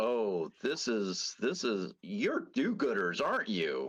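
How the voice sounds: Using a growling, put-on character voice, a man speaks at a fairly high pitch and a fairly slow pace.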